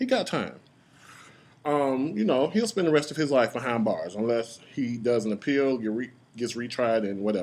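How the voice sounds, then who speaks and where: Against a quiet background, a man of medium pitch speaks at a moderate pace with ordinary pitch variation. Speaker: YouTube parody creator and commentator. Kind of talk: rant. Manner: animated.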